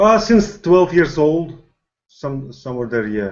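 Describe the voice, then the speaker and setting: Here a man with a Latvian accent talks at a moderate pace, his pitch making very wide swings. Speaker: boxing coach, gym owner. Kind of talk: video call interview.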